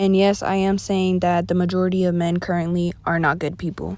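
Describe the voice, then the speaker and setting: A woman at a fairly quick pace, her pitch fairly low. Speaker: podcast host. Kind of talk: casual monologue. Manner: animated.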